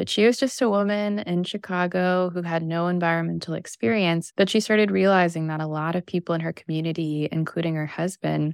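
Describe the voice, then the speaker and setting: A woman with an American accent talks at a moderate pace in an ordinary speaking voice, fairly low-pitched with fairly even intonation. The recording is very clean, with a silent background. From US Midwest, Missouri. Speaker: environmental activist and author. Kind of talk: interview.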